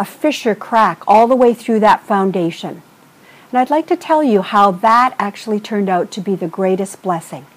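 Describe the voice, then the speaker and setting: An ordinary speaking voice with lively intonation, at a moderate pace. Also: woman. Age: 60s. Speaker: vlogger, trainer and consultant. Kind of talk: video blog monologue.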